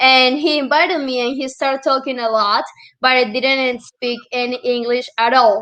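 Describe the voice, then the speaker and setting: Speaking with a Colombian accent, a woman talks at a fairly slow pace in a high pitch with a bright, sharp tone. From Colombia (Medellin). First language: Spanish. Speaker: real estate and Airbnb entrepreneur. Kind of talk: storytelling in casual interview.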